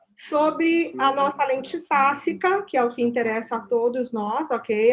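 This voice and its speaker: A woman talks at a fairly slow pace with ordinary pitch variation in an unremarkable speaking voice. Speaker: company representative. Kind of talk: product presentation.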